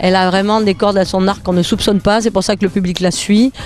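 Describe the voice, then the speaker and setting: The speaker has a Nice accent. Music plays in the background. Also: woman. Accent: southern French, Nice. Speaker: comedian. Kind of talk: interview answer.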